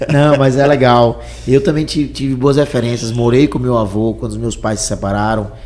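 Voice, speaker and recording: Noticeable background noise sits behind a man at medium pitch. He keeps a moderate pace and fairly even intonation. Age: young. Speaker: entrepreneur. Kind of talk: interview.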